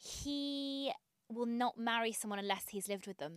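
In an unremarkable speaking voice, a woman talks with fairly high pitch and ordinary pitch variation, the sound dry and close with no echo. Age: 30s. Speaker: podcast guest. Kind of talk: casual chat.

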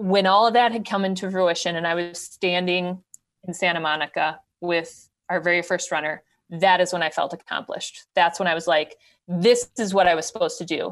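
With a Wisconsin accent, a woman speaks in a fairly low pitch and fairly even intonation, recorded very cleanly against a silent background. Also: fairly quick pace. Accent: Upper Midwest (Wisconsin). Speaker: ultrarunner, charity race founder. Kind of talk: podcast interview, casual.

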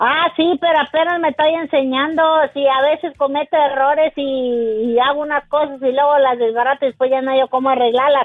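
A woman talks at a fairly quick pace with hardly any pauses, her high-pitched voice following fairly even intonation. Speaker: caller. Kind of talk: casual chat.

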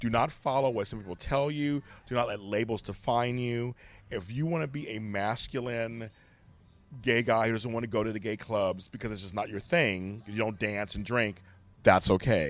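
Over music in the background, the speech keeps a moderate pace with ordinary pitch variation. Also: man, medium pitch for a man. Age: 50s. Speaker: podcaster and life coach. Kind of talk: casual chat. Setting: in person.

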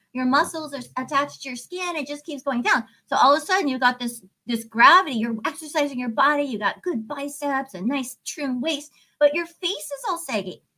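Her voice is high-pitched, raised and projected, as this woman speaks at a fairly quick clip with lively intonation. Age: 50s. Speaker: life coach and author. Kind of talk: podcast interview.

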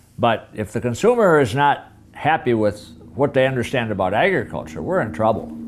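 Speaking with an Upper Midwest accent, a man talks at a fairly quick pace. His medium-pitched voice swings very widely in pitch. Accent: Upper Midwest American. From Minnesota. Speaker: farmer and retired agriculture teacher. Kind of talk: interview. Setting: farmhouse kitchen. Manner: halting, frequent fillers.

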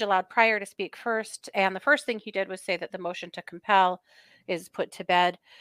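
With a normal speaking voice, a woman talks at a medium pitch and keeps her intonation fairly even. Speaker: true crime podcast co-host. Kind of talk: casual chat. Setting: livestream.

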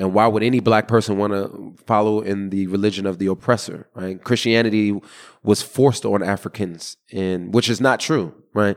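In a very clean recording with a silent background, a man speaks in a plain, everyday voice at a fairly low pitch, a moderate pace and with fairly even intonation. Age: 30s. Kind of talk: interview.

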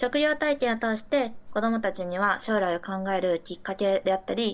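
A woman uses a plain, everyday voice at a moderate pace. Her pitch is fairly high and her intonation lively. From Mie Prefecture, Japan. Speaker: university student. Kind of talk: remote interview. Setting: remote call.

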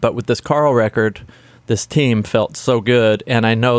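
With an American accent, a man speaks at a moderate pace in an unremarkable speaking voice of medium pitch, the sound dry and close with no echo. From US South, Nashville. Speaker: record producer. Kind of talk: interview. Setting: recording studio.

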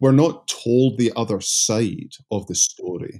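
Over a silent background in a very clean recording, a man with a Scottish accent speaks in a dark, mellow tone with fairly even intonation. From Scotland. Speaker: seminary professor and pastor. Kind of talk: interview.

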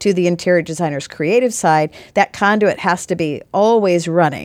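On a very clean recording with a silent background, a woman with an American accent talks at a moderate pace in a fairly low pitch with lively intonation. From Los Angeles. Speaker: interior designer and builder. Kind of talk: podcast interview.

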